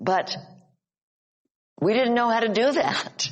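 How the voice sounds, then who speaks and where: A woman speaks with an American accent. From Upstate New York. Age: 80s+. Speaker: psychologist and author. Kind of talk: casual chat. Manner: halting.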